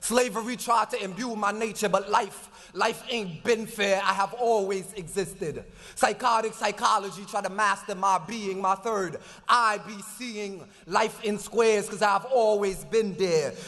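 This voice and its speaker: This man's voice is high-pitched, with fairly even intonation. He talks at a moderate pace. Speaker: slam poet. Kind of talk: live slam poetry performance. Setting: conference hall, live audience. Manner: fiery, preacher-like.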